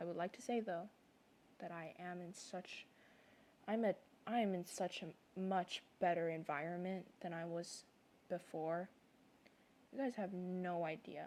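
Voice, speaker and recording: There are long, frequent pauses as a woman speaks with fairly even intonation. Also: fairly slow pace. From moved around a lot, not Canada. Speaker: content creator, artist. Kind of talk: personal vlog monologue. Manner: rambling, halting.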